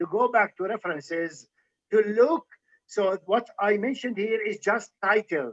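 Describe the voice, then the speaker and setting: In a dry, close sound with no echo, a man speaks at a moderate pace with a high pitch and an Arabic accent. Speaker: physician and medical historian lecturer. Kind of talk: Q&A after lecture. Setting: livestream video call.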